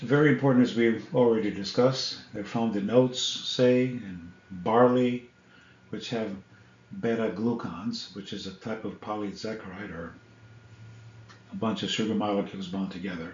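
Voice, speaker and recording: At a moderate pace and medium pitch, a man speaks in a plain, everyday voice with ordinary pitch variation. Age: 60s. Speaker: health vlogger. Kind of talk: casual educational talk to camera.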